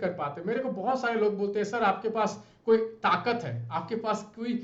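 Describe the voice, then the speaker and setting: A man speaks in an animated tone at a high pitch with ordinary pitch variation. Noticeable background noise and audible room echo are present. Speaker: UPSC exam mentor. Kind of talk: tutorial.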